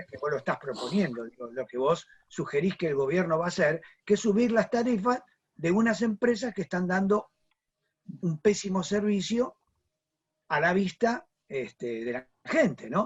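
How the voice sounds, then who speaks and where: Speaking at a moderate pace with long, frequent pauses, a man uses a high pitch and very wide pitch swings. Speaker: panel moderator. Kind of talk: panel discussion.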